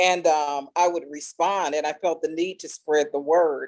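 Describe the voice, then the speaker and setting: An unremarkable speaking voice: a woman at a fairly low pitch, fairly slow pace and ordinary pitch variation. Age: 60s. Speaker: homeschooling parent, panelist. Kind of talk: panel discussion.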